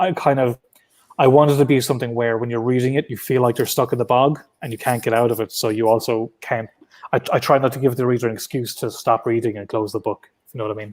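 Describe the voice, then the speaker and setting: In a dry, close recording with no echo, a man talks at a very fast pace at a medium pitch, his intonation fairly even and his loudness swinging widely. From Ireland, County Clare. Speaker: comic book creator. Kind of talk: interview.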